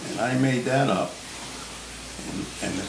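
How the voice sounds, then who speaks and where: Over noticeable background noise, a man with an American accent speaks at a medium pitch and a moderate pace. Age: 80s+. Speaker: inventor. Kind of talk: interview answer. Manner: casual, folksy.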